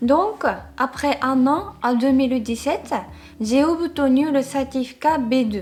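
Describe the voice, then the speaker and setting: A woman speaks at a very slow pace in a high voice with ordinary pitch variation. Noticeable background noise runs underneath. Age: 30s. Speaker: vlogger. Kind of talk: casual talk to camera.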